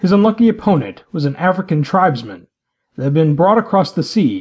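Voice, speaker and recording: Over a quiet background, a somewhat breathy man speaks in a dramatic tone at a moderate pace, with very wide pitch swings. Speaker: audiobook narrator. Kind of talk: dramatic audiobook narration, scripted fiction read aloud. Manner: dramatic, vivid, storytelling delivery with swelling action beats.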